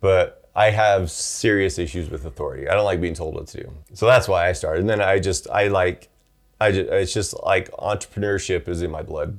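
A somewhat breathy man's voice at a fairly quick pace, with ordinary pitch variation. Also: fairly low pitch for a man. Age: 40s. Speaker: podcast co-host and YouTuber. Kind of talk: casual chat.

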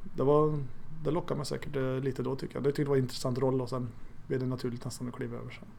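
Intonation is monotone and flat throughout. A dark, mellow tone colors the voice. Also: man. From Sweden, Arvika (Värmland). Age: 40s. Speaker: goalkeeping coach and police officer. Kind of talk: interview. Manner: halting.

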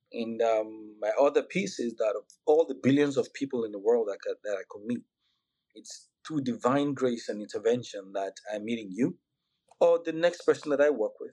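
A man with a Nigerian accent at a moderate pace, his loudness swinging widely. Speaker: physician and health IT executive. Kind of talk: podcast interview.

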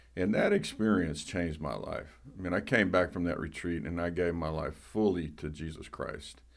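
A man with a very deep, low pitch, a Southern US accent, vocal fry and ordinary pitch variation. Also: moderate pace, hardly any pauses. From US South. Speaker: pastor.

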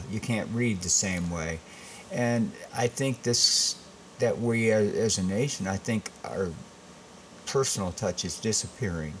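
Speaking at a fairly slow pace with long, frequent pauses, a man with an American accent has a fairly low voice and ordinary pitch variation, with noticeable background noise behind him. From Michigan, Saginaw. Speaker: restaurant owner. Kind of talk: casual interview.

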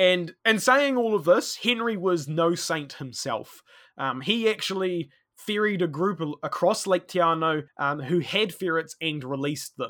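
With a New Zealand accent, a man speaks at a fairly slow pace in a high, bright, sharp voice with lively intonation, in a very clean recording over a silent background. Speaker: conservation worker and history podcaster. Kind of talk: interview, storytelling.

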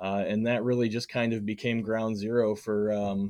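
A man with an unremarkable speaking voice talks at a moderate pace and medium pitch, his intonation fairly even over a quiet background. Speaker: comics collector and fansite writer. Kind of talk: casual interview chat.

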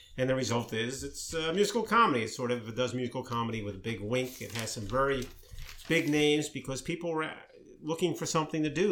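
The speaker talks at a very fast pace with ordinary pitch variation. The voice has an American accent. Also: man. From Maryland, US. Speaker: podcast co-host discussing news. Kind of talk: casual chat.

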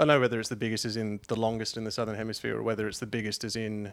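Speaking very fast at medium pitch, a man has an Australian accent. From Queensland, Australia. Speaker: long-distance swimmer. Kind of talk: casual chat.

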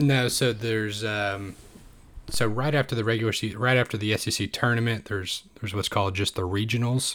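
Speaking at a fairly quick pace, a man uses a normal speaking voice at medium pitch with fairly even intonation. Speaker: podcast co-host. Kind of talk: casual sports podcast chat.

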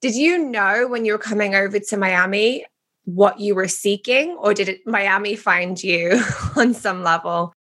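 A woman with a British accent, a bright, sharp tone, medium pitch, ordinary pitch variation and a moderate pace. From England. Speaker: podcast host. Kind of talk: podcast interview.

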